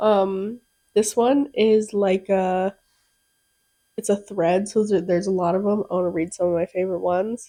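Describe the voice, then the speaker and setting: A woman speaks at a moderate pace in a medium pitch with fairly even intonation. Her tone is dark and mellow. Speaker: podcast co-host. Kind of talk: casual chat. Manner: loud.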